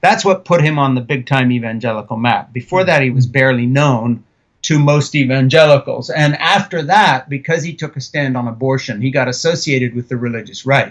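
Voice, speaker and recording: A man's normal speaking voice at medium pitch in an American accent, with ordinary pitch variation, a fairly quick pace and hardly any pauses. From Switzerland, at an American missionary community. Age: 60s. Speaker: author and film director. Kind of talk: interview.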